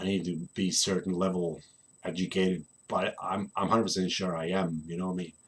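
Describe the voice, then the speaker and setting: With a Polish accent, a man speaks in a very deep, low pitch. He keeps a moderate pace and fairly even intonation. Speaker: land surveyor and gaming vlogger. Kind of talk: casual vlog monologue. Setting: at home recording. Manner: halting, many fillers.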